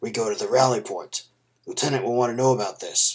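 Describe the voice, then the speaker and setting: A man uses a gruff, put-on character voice at medium pitch. He speaks at a very fast pace. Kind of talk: sword and sorcery story reading. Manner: insistent.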